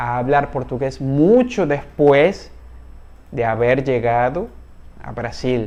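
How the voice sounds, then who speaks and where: Speaking very slowly in a Spanish accent, a man has a dark, mellow tone, a fairly high pitch and ordinary pitch variation. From Venezuela. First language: Spanish (speaking Portuguese). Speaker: Spanish teacher. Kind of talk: online language lesson.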